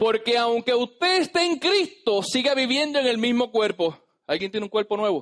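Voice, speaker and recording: A man's extremely high-pitched voice at a moderate pace, with very wide pitch swings and very even loudness. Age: 30s. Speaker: pastor. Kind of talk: sermon. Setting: church. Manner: animated.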